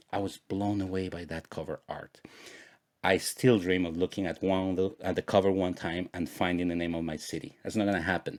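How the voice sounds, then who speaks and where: A very deep, low-pitched man with a Spanish accent, at a fairly quick pace with fairly even intonation, in a dry, close sound with no echo on a very clean recording with a silent background. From Guatemala. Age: 40s. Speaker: podcast host. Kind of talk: personal storytelling monologue.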